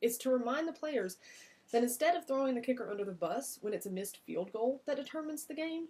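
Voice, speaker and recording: A woman with a Southern US accent, high-pitched and very fast, with lively intonation and a dark, mellow tone. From US South. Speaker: massage business coach. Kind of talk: vlog-style business advice talk. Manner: casual, conversational.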